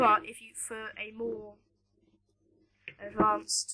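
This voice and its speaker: A woman at a fairly slow pace, with an American accent. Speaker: tutorial maker. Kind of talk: tutorial. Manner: hesitant, many fillers.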